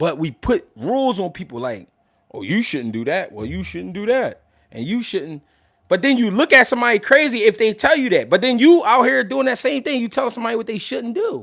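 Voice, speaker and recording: Loudness swings a lot as this man speaks. He goes at a fairly quick pace. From Philadelphia, US. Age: 30s. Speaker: boxing commentator and livestreamer. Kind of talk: casual livestream talk. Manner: animated.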